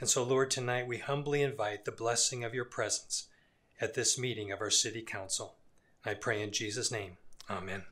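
With a bright, sharp tone, a man speaks at a moderate pace using fairly even intonation. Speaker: pastor giving invocation. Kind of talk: prayer. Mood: solemn, reverent. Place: hall. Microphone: podium.

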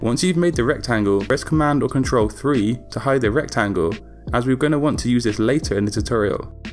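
With music playing in the background, a man at a medium pitch speaks at a fairly quick pace using lively intonation. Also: very even loudness. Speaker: graphic design tutor. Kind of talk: software tutorial narration.

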